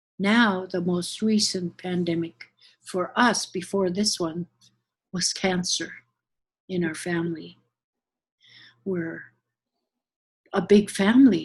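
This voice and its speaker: A woman speaks very slowly at a medium pitch, somewhat breathy, with long, frequent pauses. The recording is very clean, with a silent background. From Southeast Alaska, Kake village. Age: 70s. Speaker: Alaska Native elder and community educator. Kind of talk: oral history interview. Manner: conversational, with hesitations.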